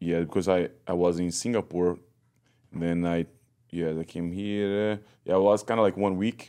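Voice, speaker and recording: Against a very clean recording with a silent background, a man with a very deep, low pitch and a dark, mellow tone speaks in a Brazilian accent at a moderate pace, with fairly even intonation and long, frequent pauses. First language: Portuguese. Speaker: Muay Thai fighter and coach. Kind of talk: casual interview chat. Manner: halting, broken English.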